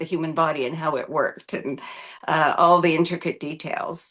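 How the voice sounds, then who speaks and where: Speaking in an ordinary speaking voice, a woman with a Canadian accent talks at a moderate pace with a fairly low pitch. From Canada. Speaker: physician. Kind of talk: interview.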